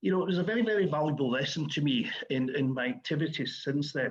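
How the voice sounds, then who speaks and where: Somewhat breathy, a man with an American accent talks at a fairly quick pace. His fairly high pitch carries lively intonation. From Scotland, Glasgow. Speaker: award recipient, Scottish business and community figure. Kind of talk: acceptance speech. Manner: halting, with many fillers and repeats.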